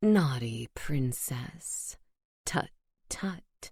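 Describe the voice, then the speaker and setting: In a put-on character voice, a woman growls out guttural sounds at a very deep, low pitch. Her pitch swings very widely. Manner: mocking, teasing.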